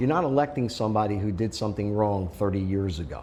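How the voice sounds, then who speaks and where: This fairly quick voice is somewhat breathy. Its tone is dark and mellow. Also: man. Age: 60s. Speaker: school board candidate. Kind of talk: interview. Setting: sit-down interview in person.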